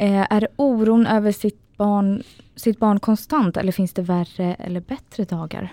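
Her voice is a woman's at medium pitch, dark and mellow in tone, moving at a fairly slow pace with ordinary pitch variation and a dry, close sound with no echo. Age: 20s. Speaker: podcast host with diabetes. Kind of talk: casual chat.

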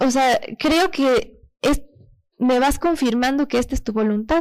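Her voice is high-pitched, with ordinary pitch variation and a fairly slow pace. The recording is very clean, with a silent background. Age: 20s. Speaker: pastor's daughter giving testimony. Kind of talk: testimony.

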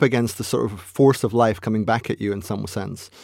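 The recording of this man's voice is very clean, with total silence behind him. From Scotland. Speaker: philosopher and chess grandmaster. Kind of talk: casual interview chat.

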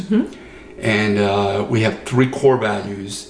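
There is audible room echo and noticeable background noise as a man with an American accent talks with fairly even intonation. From Brooklyn, New York. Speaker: retired military veteran and videographer. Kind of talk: interview. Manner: halting.

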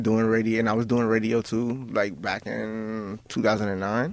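A man talks at a moderate pace. His pitch is fairly low, with little pitch movement.

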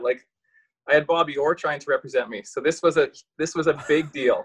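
A man with a Canadian prairie accent at a fairly quick pace, fairly high pitched, with fairly even intonation and a dry, close sound without echo. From rural Saskatchewan, Canada. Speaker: retired professional hockey player. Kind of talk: casual interview chat.

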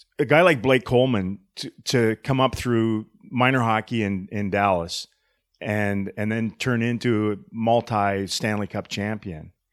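A man talks at a fairly slow pace in a fairly low voice with ordinary pitch variation. The recording is very clean, the background silent. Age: 50s. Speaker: hockey podcast host. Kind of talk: casual chat. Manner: animated.

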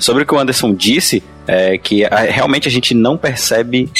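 The recording has a dry, close sound with no echo, though background noise is noticeable. A man speaks in a Pará accent at a moderate pace. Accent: Northern Brazilian (Pará). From Belém, Pará, Brazil. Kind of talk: casual panel discussion.

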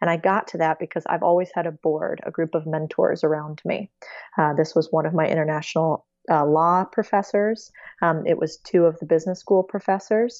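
With an unremarkable speaking voice, a woman talks at a fairly quick pace, fairly low in pitch, with fairly even intonation. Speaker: investor and finance speaker. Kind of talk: interview.

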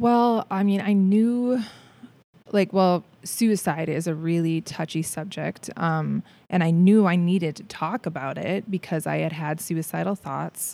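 In a very clean recording with a silent background, a woman with an ordinary speaking voice and an American accent talks at a fairly low pitch and a fairly slow pace, with ordinary pitch variation. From Minnesota, Saint Paul. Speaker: theatre performer and creator. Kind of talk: casual interview.

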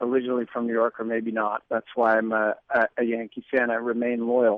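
This man talks at a fairly quick pace and a medium pitch, recorded with a dry, close sound and no echo. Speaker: political commentator and writer. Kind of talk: radio interview. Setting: phone line.

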